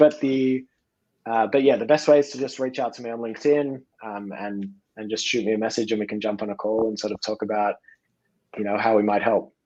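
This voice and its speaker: A man's medium-pitched voice in an Australian accent, dark and mellow in tone, with fairly even intonation, big swings in loudness and a fairly quick pace. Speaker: podcast guest, company representative.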